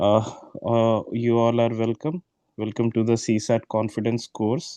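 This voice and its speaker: A man talks at a fairly slow pace with a medium pitch and a dark, mellow tone. His loudness is very even and his intonation fairly even, with a dry, close sound and no echo. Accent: Indian. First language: Hindi. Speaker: exam prep tutor. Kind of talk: online class orientation. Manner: hesitant, many filler words.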